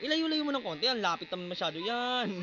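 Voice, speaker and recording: A man speaks at a very fast pace with very wide pitch swings. Background noise is noticeable. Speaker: amateur barber vlogger. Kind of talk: casual vlog tutorial. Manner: loud.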